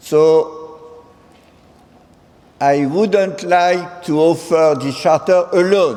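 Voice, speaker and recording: Over noticeable background noise, a man with a strong French accent speaks at a very slow pace with ordinary pitch variation. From France. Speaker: president of international senior-university association. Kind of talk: ceremonial speech. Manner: halting, mixing English and French.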